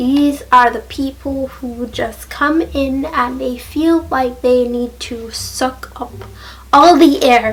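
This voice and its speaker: Over noticeable background noise, a woman speaks with a high pitch and fairly even intonation. Her pace is very slow. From Jamaica. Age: 20s. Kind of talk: casual talk to camera.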